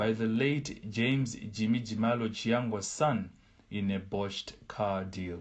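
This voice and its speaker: A man speaks in a normal speaking voice at a medium pitch. He talks at a fairly slow pace with ordinary pitch variation. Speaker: newsreader. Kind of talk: news reading. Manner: formal, steady, measured newsreader delivery.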